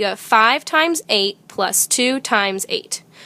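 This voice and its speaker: A woman with a bright, sharp tone speaks in a raised, projected voice with very wide pitch swings. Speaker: schoolteacher. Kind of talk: video math tutorial for students.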